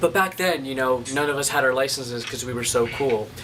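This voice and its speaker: A man's voice comes through with noticeable background noise. It sits at a medium pitch and shows ordinary pitch variation. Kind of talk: casual talk to camera, vlog storytelling.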